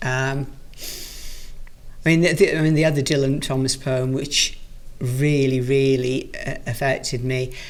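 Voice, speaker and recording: A woman speaks at a fairly slow pace with long, frequent pauses and ordinary pitch variation. Her very deep, low voice carries audible room echo. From Wales, Rhondda Valley. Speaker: guest sharing a favourite poem. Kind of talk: casual conversation about poetry. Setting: recorded in a library. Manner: halting, many fillers and restarts.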